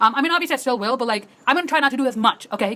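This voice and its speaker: Over noticeable background noise, a woman talks very fast in a high, animated voice with very wide pitch swings. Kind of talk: casual vlog monologue. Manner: fast, filler-heavy.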